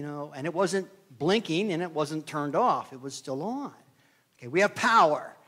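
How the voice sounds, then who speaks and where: A man speaks at a fairly quick pace with lively intonation. The recording is very clean, with a silent background. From Pennsylvania (Somerset). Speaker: preacher. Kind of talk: sermon.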